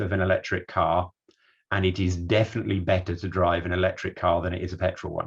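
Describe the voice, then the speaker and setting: Against a quiet background, a man talks at a very fast pace. His voice is fairly low and somewhat breathy. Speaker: energy systems researcher. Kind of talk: online talk / presentation.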